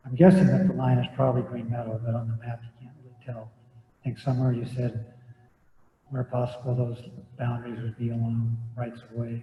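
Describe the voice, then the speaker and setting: A soft-spoken man talks at a fairly quick pace. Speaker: public commenter at planning meeting. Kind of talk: public comment. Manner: halting.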